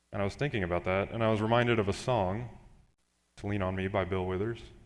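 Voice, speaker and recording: With audible room echo, a man speaks at a fairly low pitch. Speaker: pastoral intern. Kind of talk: sermon. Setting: church. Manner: monotone.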